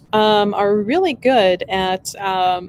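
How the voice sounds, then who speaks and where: Music plays behind a woman as she talks. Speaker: shop owner and livestream host. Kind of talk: casual livestream chat. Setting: live video stream in store. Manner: rambling, halting with fillers.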